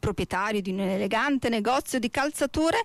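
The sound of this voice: Someone reads in an unforced reading voice.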